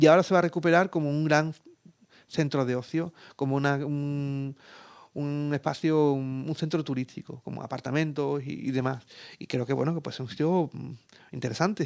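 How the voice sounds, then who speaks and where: At a moderate pace, a man talks in a fairly high voice with fairly even intonation, recorded very cleanly over a silent background. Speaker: geographer and environmental consultant. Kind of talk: radio interview. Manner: hesitant, many fillers and repetitions.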